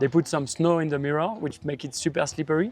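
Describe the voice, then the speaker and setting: This man has a fairly high pitch, fairly even intonation, and a French accent. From France, Paris. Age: 30s. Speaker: pro BMX rider. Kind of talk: interview.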